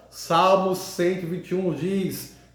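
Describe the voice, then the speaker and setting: Very slowly and at a high pitch, a man speaks amid noticeable background noise and audible room echo. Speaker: evangelical preacher. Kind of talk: sermon. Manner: halting, repeats words.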